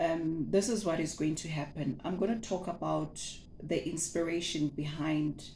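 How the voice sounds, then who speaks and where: With a Zulu accent, a woman talks at a moderate pace in a very deep, low pitch and a dark, mellow tone, with ordinary pitch variation and audible room echo. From South Africa. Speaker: butcher and meat-processing entrepreneur, former teacher. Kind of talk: casual vlog introduction. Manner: hesitant, with many fillers and repetitions.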